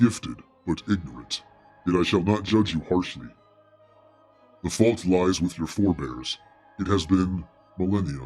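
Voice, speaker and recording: A man puts on a character voice with a very deep, low pitch, speaking at a moderate pace with long, frequent pauses. Faint music plays in the background. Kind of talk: archaic, grand. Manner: creepy, ominous.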